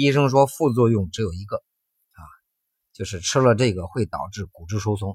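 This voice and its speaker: The sound is dry and close, with no echo. A man speaks somewhat breathily at a moderate pace and a fairly low pitch. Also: very clean recording, silent background. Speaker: health podcast host. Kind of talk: personal storytelling monologue. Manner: animated.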